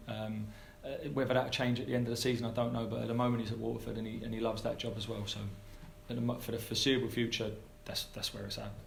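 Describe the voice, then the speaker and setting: A man with an English accent speaks at a very fast pace, with audible room echo. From England. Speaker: football head coach. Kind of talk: press conference Q&A. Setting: press conference. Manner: halting with many repetitions.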